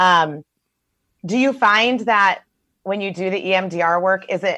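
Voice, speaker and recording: The background is quiet. A woman with a medium pitch speaks in an animated, enthusiastic tone. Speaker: host of a web show, therapist. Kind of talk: casual chat, interview with her brother. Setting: recorded remotely, video or call.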